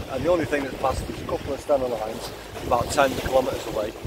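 Loud background noise surrounds a man speaking at a very fast pace. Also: dry sound with no echo. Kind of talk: casual vlog chat. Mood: reflective, happy. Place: boat. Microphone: phone near.

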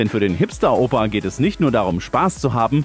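Over music in the background, a man with a medium pitch speaks at a moderate pace. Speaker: news reporter. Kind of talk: news report narration.

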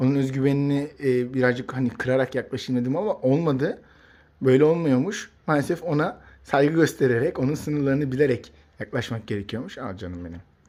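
A man's dark, mellow voice at a medium pitch, with ordinary pitch variation and a fairly quick pace. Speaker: pet bird YouTuber. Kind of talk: casual vlog talk to camera. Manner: hesitant fillers; animated, exclamatory.

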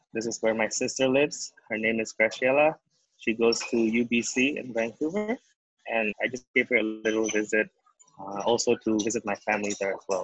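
Against a quiet background, a man talks with an Indonesian accent and fairly even intonation. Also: moderate pace, dry sound with no echo. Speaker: startup founder. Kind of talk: webinar talk. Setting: video call. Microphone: video call.

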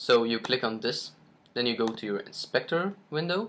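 A man with a non-native accent talks at a moderate pace and a medium pitch. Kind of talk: software tutorial screen recording. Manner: hesitant, many fillers.

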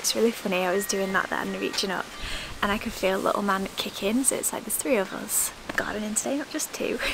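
A woman's very fast delivery with ordinary pitch variation and noticeable background noise. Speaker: lifestyle vlogger. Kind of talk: casual vlog chat. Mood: cheerful, laughing. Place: garden.

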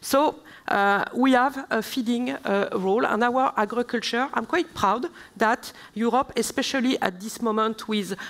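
A woman with a French accent speaks at a moderate pace, her fairly high voice carrying lively intonation. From southern France. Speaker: member of European Parliament; speaker. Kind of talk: panel debate; panel discussion answer. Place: stage. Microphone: headset.

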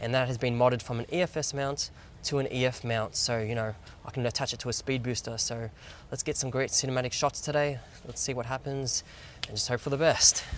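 Against light background noise, a man talks at a fairly quick pace with fairly even intonation and a dry sound with no echo. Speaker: camera vlogger. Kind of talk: casual vlog chat. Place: waterside. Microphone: phone near.

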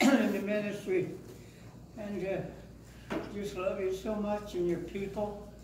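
A high-pitched man at a fairly slow pace, with audible room echo and noticeable background noise. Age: 80s+. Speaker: pastor. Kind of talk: casual remarks to an audience. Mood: warm, grateful. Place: church.

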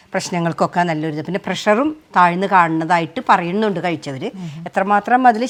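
A woman's medium-pitched, plain, everyday voice with lively intonation. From Kerala, Thrissur (Nattika). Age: 50s. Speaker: small food producer and farmer. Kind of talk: cooking demonstration.

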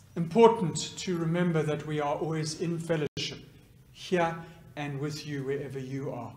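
Audible room echo surrounds a man whose fairly high voice moves at a moderate pace with ordinary pitch variation. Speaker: clergy leading liturgy; minister leading service. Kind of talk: liturgical prayer. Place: church. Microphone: podium.

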